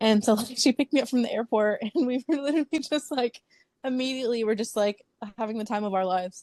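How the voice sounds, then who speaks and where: Heard in a dry, close recording with no echo, a woman talks in a dark, mellow tone with ordinary pitch variation. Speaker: book influencer. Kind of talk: casual chat. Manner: loud; animated.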